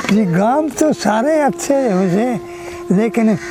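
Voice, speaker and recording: A man's voice swings very widely in pitch as music plays in the background. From Haryana, Rohtak district. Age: 80s+. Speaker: war veteran. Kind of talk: interview answer.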